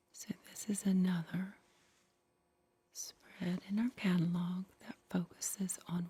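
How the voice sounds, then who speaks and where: Very slow and soft-spoken, the woman has a somewhat breathy, dark, mellow tone at medium pitch with monotone, flat intonation. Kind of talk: retro roleplay ASMR, 1960s Avon representative demonstration. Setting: ASMR roleplay setup with catalog and props.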